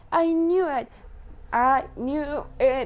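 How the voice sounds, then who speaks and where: Speaking with a non-native accent, a woman's pitch varies in an ordinary way. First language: not English. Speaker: gameplay streamer. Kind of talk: let's play commentary. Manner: casual, chatty.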